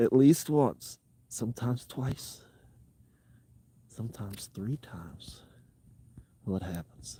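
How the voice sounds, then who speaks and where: A man talks at a very slow pace, with long, frequent pauses. His voice has vocal fry and lively intonation. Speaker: outdoor adventure streamer. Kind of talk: casual live stream chat. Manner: quiet, speaking lower.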